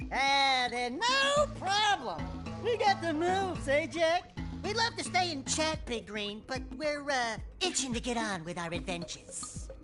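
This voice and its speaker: A put-on character voice talks at a moderate pace with clear music playing behind it. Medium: machinima. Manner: cocky, wisecracking.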